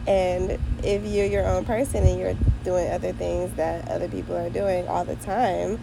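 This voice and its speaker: Female speech at a moderate tempo, noticeable noise in the background and audible echo off the room. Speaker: vlogger. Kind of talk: casual monologue vlog. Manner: casual, stream-of-consciousness; occasional stutter.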